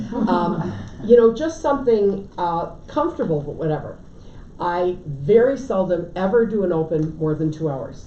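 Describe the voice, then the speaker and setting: A woman speaks at a medium pitch with lively intonation. There is audible room echo. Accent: American. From Connecticut. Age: 70s. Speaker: real estate agent and trainer. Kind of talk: lecture. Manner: casual.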